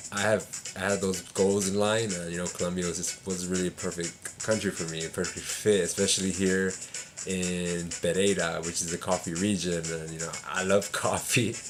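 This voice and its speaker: Music plays in the background while the voice moves at a moderate pace in a monotone, flat intonation. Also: man, very deep, low pitch for a man. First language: Spanish. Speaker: English teacher and vlogger. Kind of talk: casual vlog advice. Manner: hesitant, many fillers.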